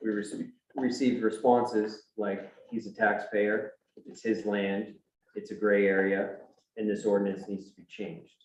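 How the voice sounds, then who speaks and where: A man's fairly low voice in monotone, flat intonation. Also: moderate pace, big swings in loudness. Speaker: appellant resident at town hearing. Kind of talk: reading a prepared statement. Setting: town board hearing. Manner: soft-spoken.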